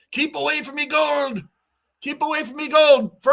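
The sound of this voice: Putting on a character voice, a man speaks at a moderate pace with an extremely high pitch.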